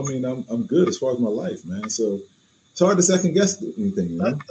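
A man's somewhat breathy voice with a dark, mellow tone, very wide pitch swings and a fairly quick pace. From New Orleans. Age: 50s. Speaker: cigar company representative. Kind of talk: casual chat.

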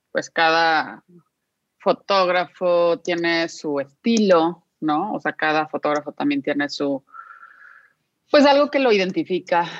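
Speaking at a very slow pace, a woman uses lively intonation in a fairly low pitch, the sound dry and close with no echo against a quiet background. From Guadalajara, Mexico. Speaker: podcast co-host, designer and executive coach. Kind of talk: interview. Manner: animated.

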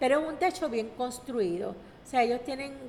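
A woman talks with a high pitch. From Puerto Rico, San Juan (Barrio Obrero). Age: 60s. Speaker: community leader. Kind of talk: radio interview.

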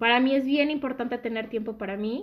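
On a very clean recording with a silent background, a woman is speaking. Her voice is fairly high, and her intonation is fairly even. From Mexico City area (born Guadalajara). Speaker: podcast guest, friend of host. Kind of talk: casual chat.

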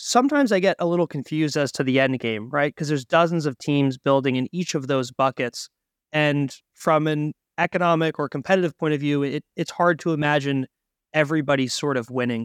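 In a very clean recording with a silent background and a dry, close sound free of echo, a man with a fairly high pitch and ordinary pitch variation talks at a fairly quick pace in an ordinary speaking voice. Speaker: podcast host. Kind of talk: interview.

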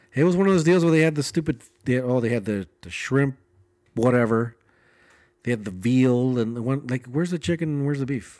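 The recording is very clean, its background silent. An ordinary speaking voice goes at a fairly quick pace with ordinary pitch variation. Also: man, medium pitch for a man. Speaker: podcast co-host, film set worker. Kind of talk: casual comedic chat. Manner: playful, jokey.

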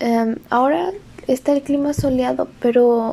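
A woman's high voice with ordinary pitch variation at a fairly slow pace. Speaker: podcaster. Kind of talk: casual monologue. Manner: halting.

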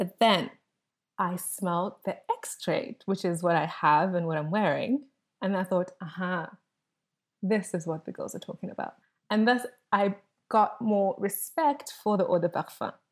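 In a South African accent, a woman speaks at medium pitch and a fairly slow pace, with ordinary pitch variation and long, frequent pauses. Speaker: fragrance content creator. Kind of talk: casual chat. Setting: video call. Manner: soothing.

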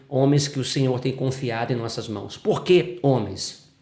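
A man at a moderate pace, his pitch varying in an ordinary way, with audible room echo. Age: 40s. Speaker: pastor and psychologist. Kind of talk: interview testimony.

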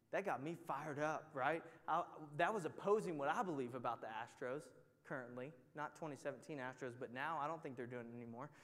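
In a Texan accent, a man talks at a fairly quick pace. His pitch is fairly high. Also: ordinary pitch variation. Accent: Texan American. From Texas, near Houston. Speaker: Bible study teacher. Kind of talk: sermon. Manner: animated.

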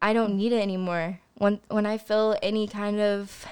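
In an American accent, a woman talks at a moderate pace with monotone, flat intonation. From Missouri, Joplin area. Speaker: guest sharing life story. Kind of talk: testimony. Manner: halting, with frequent fillers.

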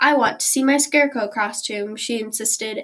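Using an ordinary speaking voice, a woman talks at a moderate pace with a fairly high pitch and ordinary pitch variation. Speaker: audiobook reader. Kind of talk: literary audiobook reading. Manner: friendly, warm, aimed at children.

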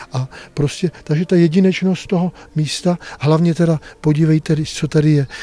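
A man with a dark, mellow tone, fairly high in pitch, at a moderate pace. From northern Bohemia (Kadaň). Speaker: monastery prior, monk. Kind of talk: interview. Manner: halting, conversational.

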